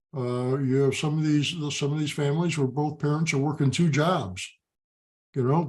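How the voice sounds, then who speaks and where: A man with an American accent speaks at a moderate pace in a fairly high, somewhat breathy voice. The background is quiet. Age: 70s. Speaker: father of pro football players. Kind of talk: interview.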